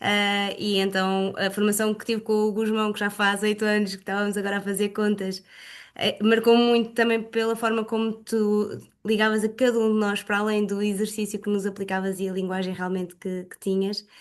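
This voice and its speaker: A woman speaks at a moderate pace in a flat, monotone way. The background is quiet. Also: medium pitch for a woman. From Portugal, Leiria. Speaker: exercise and pilates instructor. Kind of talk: self-introduction in online group meeting.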